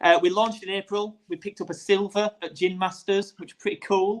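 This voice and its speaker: A man speaks with a Yorkshire accent. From Yorkshire, northern England. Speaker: gin distiller and brand founder. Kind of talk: casual interview.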